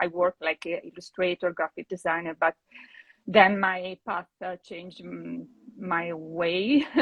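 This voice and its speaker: With an Italian accent, a woman talks in a fairly even intonation. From Italy. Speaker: painter. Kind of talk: casual interview. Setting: video call livestream. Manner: halting.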